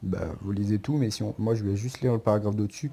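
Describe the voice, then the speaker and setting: Somewhat breathy and dark, mellow in tone, a man's voice comes through at a fairly low pitch. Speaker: football YouTuber. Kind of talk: casual commentary video. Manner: stammering.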